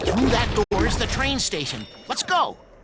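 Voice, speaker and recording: Fairly high and at a moderate pace, a put-on character voice. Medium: video game.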